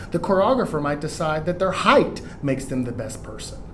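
Noticeable background noise sits behind a man with an American accent. His intonation is lively. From Houston, Texas. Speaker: Broadway actor and singer. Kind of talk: casual chat.

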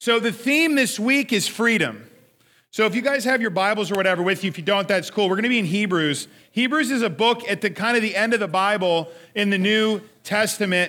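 Raising and projecting his voice, a man talks at a fairly quick pace with high pitch, a bright, sharp tone and an animated tone. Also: ordinary pitch variation. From Australia. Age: 30s. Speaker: youth pastor. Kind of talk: sermon.

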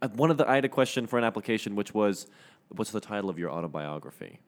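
On a very clean recording with a silent background, a man with a fairly low pitch talks at a fairly quick pace in an ordinary speaking voice. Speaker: student podcast co-host. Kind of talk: casual chat.

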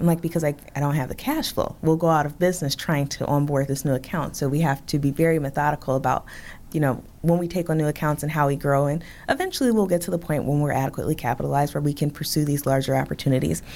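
This woman has a very deep, low pitch and an American accent. She talks very fast, her intonation fairly even. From Chicago south side. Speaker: bakery owner. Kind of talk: interview.

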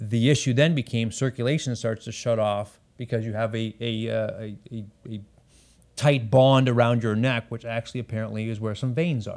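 At a moderate pace, a man at medium pitch speaks in an ordinary speaking voice with fairly even intonation, on a very clean recording with a silent background. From Canada, Ontario. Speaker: former tech company CEO. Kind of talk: interview.

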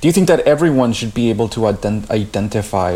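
Using a plain, everyday voice, a man with a fairly low pitch talks at a moderate pace with lively intonation. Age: 30s. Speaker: podcast co-host. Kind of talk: casual conversation.

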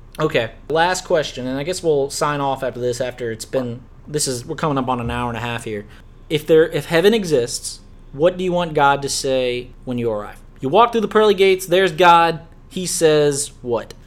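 A plain, everyday voice from a man with an American accent, pitched fairly high. He talks at a moderate pace with lively intonation. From US South, Louisiana. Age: 20s. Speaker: podcast host. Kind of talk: casual chat.

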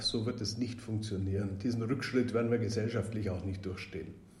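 With audible room echo, a man speaks in a somewhat breathy voice of dark, mellow tone and monotone, flat intonation. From Bavaria, Augsburg (Swabia). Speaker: member of European Parliament. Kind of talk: podcast interview.

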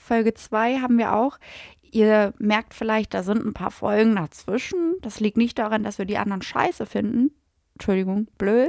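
Heard in a very clean recording with a silent background and a dry, close sound with no echo, a woman with a plain, everyday voice speaks at a moderate pace, fairly high in pitch with ordinary pitch variation. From Lower Saxony, Gifhorn near Braunschweig. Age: 20s. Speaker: podcast host. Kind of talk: casual chat.

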